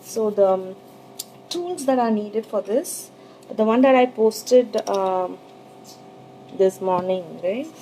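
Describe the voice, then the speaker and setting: The pace is very slow, with long, frequent pauses. The intonation is lively. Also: woman. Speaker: sugar art teacher. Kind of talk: live tutorial. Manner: hesitant, many fillers; trying to speak louder.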